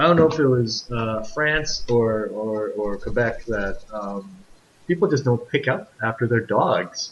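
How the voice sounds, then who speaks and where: Speaking with a Canadian accent, a man talks at a fairly slow pace and a medium pitch with ordinary variation, over noticeable background noise. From Vancouver, Canada. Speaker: podcast host. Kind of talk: casual chat.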